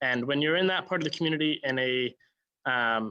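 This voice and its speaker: In a normal speaking voice with a Canadian accent, a man talks at a fairly quick pace, with a fairly high pitch and ordinary pitch variation. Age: 20s. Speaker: town councillor. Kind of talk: panel discussion.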